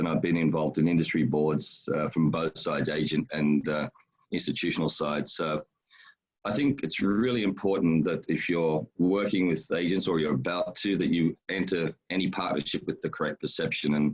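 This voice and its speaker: With an Australian accent, a man speaks in a very deep, low voice. His loudness stays very even, and his pitch varies an ordinary amount. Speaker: education agency founder. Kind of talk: webinar presentation. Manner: fast.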